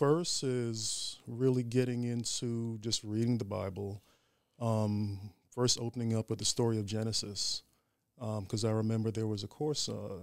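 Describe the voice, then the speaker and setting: In an American accent, a man with a normal speaking voice talks at a medium pitch with fairly even intonation over a very clean recording with a silent background. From Staten Island, New York. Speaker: Ifa priest. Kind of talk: interview.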